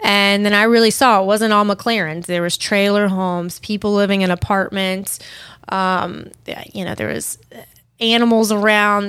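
Recorded very cleanly against a silent background, a woman with a plain, everyday voice talks at a medium pitch with fairly even intonation. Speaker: podcast host. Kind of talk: casual chat. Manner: casual, laughs often.

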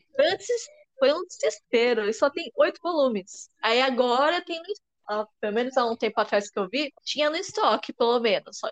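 With very wide pitch swings, a woman speaks in a high voice at a moderate pace, recorded with a dry, close sound and no echo. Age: 20s. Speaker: podcast host. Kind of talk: casual chat.

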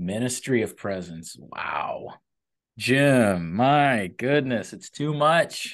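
A man with a medium pitch uses lively intonation at a very slow pace. The background is quiet. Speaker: podcast host. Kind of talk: interview.

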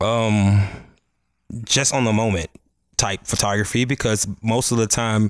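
A man with an American accent speaks in an unremarkable speaking voice at a fairly low pitch, on a very clean recording with a silent background. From Chicago South Side. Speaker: photographer. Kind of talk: casual chat.

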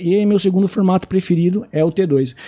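His tone dark and mellow, a man with a high pitch talks at a fairly slow pace with fairly even intonation. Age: 30s. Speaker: card game content creator. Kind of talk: casual chat.

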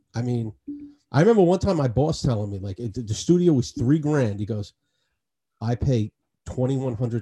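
Speaking with a New York accent, a man talks fairly quickly at a medium pitch, his dark, mellow, somewhat breathy voice carrying lively intonation and big swings in loudness. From New York City, Queens (Astoria). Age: 40s. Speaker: podcast host. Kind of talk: casual chat.

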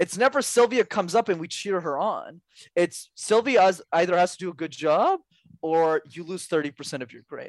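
A high-pitched man speaks at a moderate pace with lively intonation. The sound is dry and close with no echo, over a quiet background. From Montreal, Quebec. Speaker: public speaking coach. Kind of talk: interview.

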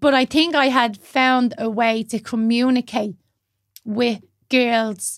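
This woman speaks with a Dublin accent and fairly even intonation. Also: very clean recording, silent background. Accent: Dublin Irish. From Dublin, Ireland (Blanchardstown). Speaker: yoga teacher and mental health advocate. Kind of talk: casual interview chat.

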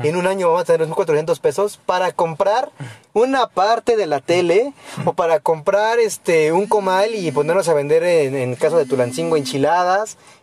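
Over noticeable background noise, a man with a high voice speaks at a moderate pace with lively intonation, the sound dry and close with no echo. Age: 20s. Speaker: international relations graduate student. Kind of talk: casual chat.

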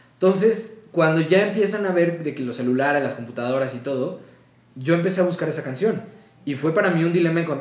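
With audible room echo, a man speaks at a fairly high pitch and with ordinary pitch variation. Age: 20s. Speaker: voice actor. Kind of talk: casual chat.

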